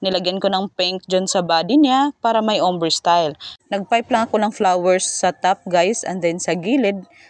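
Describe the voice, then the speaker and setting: A woman's medium-pitched voice at a moderate pace, with ordinary pitch variation and a dry, close sound free of echo. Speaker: home baker. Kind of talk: voice-over tutorial. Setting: at home. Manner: loud.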